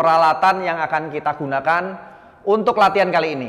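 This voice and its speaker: A man is speaking. His pace is fairly quick, and his pitch variation is ordinary. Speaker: fitness instructor. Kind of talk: tutorial. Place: hall.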